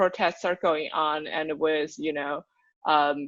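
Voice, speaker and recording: A woman speaks with a Chinese accent. The background is quiet. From China. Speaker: nonprofit program manager. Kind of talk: podcast interview.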